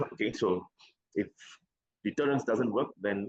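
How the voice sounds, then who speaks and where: Ordinary pitch variation marks a man's fairly low-pitched speech. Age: 60s. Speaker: care organization CEO, former military officer. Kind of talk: interview. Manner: hesitant, many fillers.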